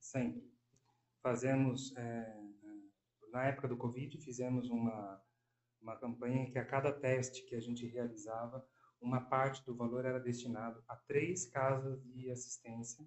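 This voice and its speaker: A man speaks in a monotone, flat delivery broken by long, frequent pauses. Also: medium pitch for a man, fairly slow pace. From interior of São Paulo state, Brazil. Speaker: pharmacist. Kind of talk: podcast interview.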